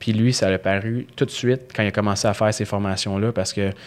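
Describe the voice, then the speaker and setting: The recording is very clean, with a silent background. A man with a plain, everyday voice and fairly low pitch speaks at a moderate pace with fairly even intonation. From Quebec, Montreal West Island. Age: 20s. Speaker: strength and conditioning coach. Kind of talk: interview conversation.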